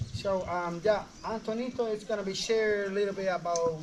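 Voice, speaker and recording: A man's voice with fairly even intonation amid noticeable background noise. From Panama, Darien region. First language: Embera. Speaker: tour guide. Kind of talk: guided tour talk. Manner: halting.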